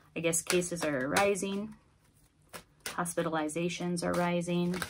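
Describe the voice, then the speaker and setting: A woman's fairly low, monotone voice at a fairly slow pace, with noticeable background noise. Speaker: tarot reader. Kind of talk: tarot reading. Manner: casual. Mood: calm, slightly concerned. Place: home room. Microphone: phone near.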